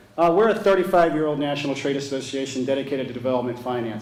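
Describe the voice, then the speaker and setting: A man with an American accent talks at a very fast pace, at a medium pitch with ordinary pitch variation. Noticeable background noise sits behind him. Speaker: trade association chief executive. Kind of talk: conference keynote speech.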